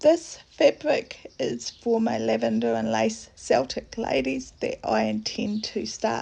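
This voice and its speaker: The speaker talks quietly at a fairly slow pace. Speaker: cross-stitch vlogger. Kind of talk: casual craft update talk.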